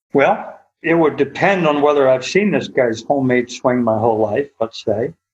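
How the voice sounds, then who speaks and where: At a moderate pace, a man speaks in an ordinary speaking voice with medium pitch, ordinary pitch variation and very even loudness. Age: 60s. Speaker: golf instructor. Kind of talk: casual chat.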